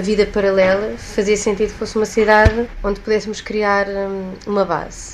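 A woman speaks at a medium pitch in a monotone, flat intonation. Noticeable background noise is present. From Portugal. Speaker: actress and shop owner. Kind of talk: interview.

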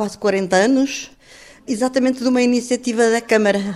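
Someone speaks at a moderate pace with fairly even intonation. There is noticeable background noise. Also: woman. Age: 70s. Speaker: former mayor and retired teacher. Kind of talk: interview testimony.

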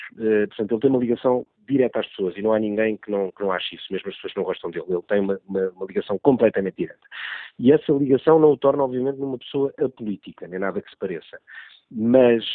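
A man talks at a very fast pace with a medium pitch. His loudness swings widely. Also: ordinary pitch variation. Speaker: journalist, political commentator. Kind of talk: political analysis on radio.

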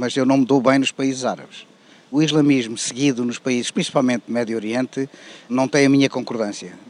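Speaking at a fairly quick pace with a European Portuguese accent, this voice keeps a fairly even intonation. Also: man. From Portugal. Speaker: interviewee on street. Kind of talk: street interview. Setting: outdoors.

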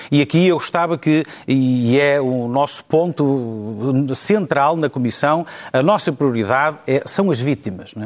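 Using an ordinary speaking voice, a man talks at a fairly slow pace with a fairly high pitch and ordinary pitch variation. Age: 40s. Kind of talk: panel debate.

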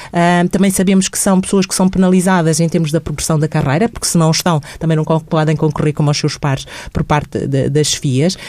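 A woman speaks at a fairly quick pace with hardly any pauses, her pitch fairly low. Her tone is dark and mellow, and her intonation stays fairly even. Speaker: social worker and mental health program adviser. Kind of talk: radio interview.

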